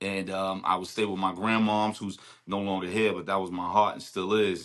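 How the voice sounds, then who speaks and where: Someone speaks at a moderate pace with a Brooklyn accent. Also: man. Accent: New York, Brooklyn. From Brooklyn, New York (Bed-Stuy). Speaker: rapper. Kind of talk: casual chat. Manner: animated.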